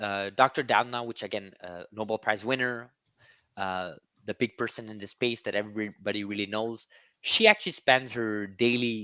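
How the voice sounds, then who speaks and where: A man's bright, sharp voice at medium pitch and moderate pace, dry and close with no echo over a quiet background. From Quebec, Montreal. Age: 30s. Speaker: gene-editing investing YouTuber. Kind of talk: interview conversation. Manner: halting, many fillers and repeats.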